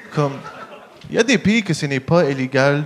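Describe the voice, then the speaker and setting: The speaker has an English accent and ordinary pitch variation. The pace is moderate. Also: man. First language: English (speaking French). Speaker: stand-up comedian. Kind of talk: stand-up. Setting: stage with audience. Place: stage. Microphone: handheld.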